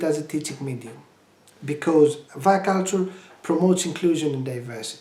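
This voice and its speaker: Amid noticeable background noise, the speaker talks at a fairly quick pace in a Greek accent. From Greece. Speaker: language education project presenter. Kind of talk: tutorial. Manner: halting, many fillers.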